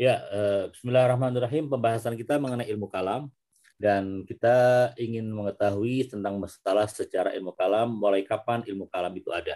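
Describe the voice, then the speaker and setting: A man speaks with a dark, mellow tone at a medium pitch. His intonation stays fairly even at a fairly quick pace. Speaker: interpreter. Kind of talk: lecture translation. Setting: video call.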